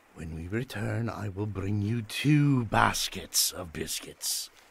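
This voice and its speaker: A man speaks in a put-on character voice, fairly low in pitch and at a fairly slow pace. His loudness swings widely from moment to moment. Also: ordinary pitch variation. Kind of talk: audio drama.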